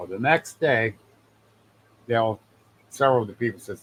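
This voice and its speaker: No echo at all, just a dry, close sound. The man speaks at a moderate pace. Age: 60s. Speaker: Sasquatch eyewitness and researcher. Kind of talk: casual storytelling interview. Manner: animated.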